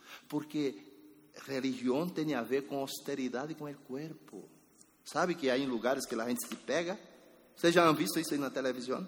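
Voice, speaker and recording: Ordinary pitch variation at a moderate pace, amid audible room echo. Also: man, fairly high pitch for a man. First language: Spanish (speaking Portuguese). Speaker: pastor. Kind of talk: sermon.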